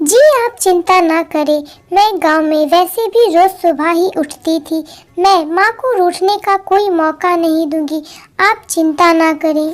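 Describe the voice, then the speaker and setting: A woman does a cartoonish character voice at an extremely high pitch, speaking at a fairly slow pace with ordinary pitch variation. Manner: polite, respectful.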